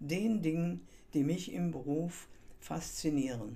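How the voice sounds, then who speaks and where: The voice has a dark, mellow tone with vocal fry, and audible room echo surrounds it. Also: woman. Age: 80s+. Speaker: coach and podcast host. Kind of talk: scripted monologue.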